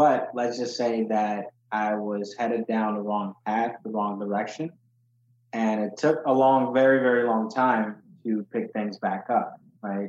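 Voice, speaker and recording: A man talks at a fairly slow pace with an ordinary speaking voice. His pitch is medium and his intonation fairly even. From Ghana, moved to Chicago at age eight. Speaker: accountant and financial literacy educator. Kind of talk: interview, personal story.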